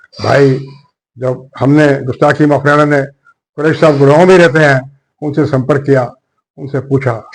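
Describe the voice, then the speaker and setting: A man speaks with a fairly high pitch and monotone, flat intonation. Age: 70s. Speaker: journalist, political commentator. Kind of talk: political commentary monologue.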